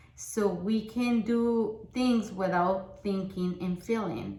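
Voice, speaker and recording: A woman talks at a very slow pace, and audible room echo can be heard around her. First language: Spanish. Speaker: book summary vlogger. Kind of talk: casual talk about a book. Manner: halting, many fillers.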